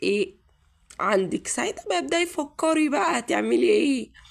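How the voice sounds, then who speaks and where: A woman speaks at a fairly slow pace with an Egyptian accent. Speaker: YouTuber giving advice. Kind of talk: casual advice monologue to viewers.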